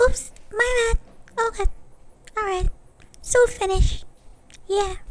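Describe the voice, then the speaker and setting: A woman uses a put-on, squeaky character voice at an extremely high pitch and a fairly slow pace. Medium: cartoon. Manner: breezy, chatty.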